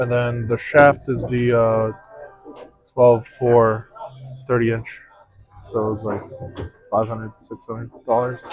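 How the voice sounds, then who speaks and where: A man with a non-native accent, medium pitch, a monotone, flat intonation and big swings in loudness, very slow with long, frequent pauses, over music in the background. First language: not English. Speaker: pool stream commentator. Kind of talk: casual chat. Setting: pool hall.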